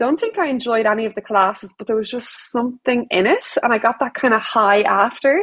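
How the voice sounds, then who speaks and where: Her pitch is high, with ordinary variation. A woman with an Irish accent talks at a fairly quick pace. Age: 30s. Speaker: yoga teacher. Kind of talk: casual chat.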